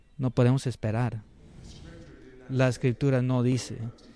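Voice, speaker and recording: A man with a medium-pitched voice speaks in a monotone, flat intonation. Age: 60s. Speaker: preacher. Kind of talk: sermon. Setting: church service. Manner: halting.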